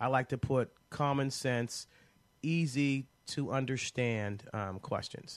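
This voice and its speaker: A man with a medium-pitched voice and an American accent talks at a very slow pace, his pitch varying in an ordinary way. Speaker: attorney and radio show host. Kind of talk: radio call-in legal advice show. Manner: casual, with frequent fillers.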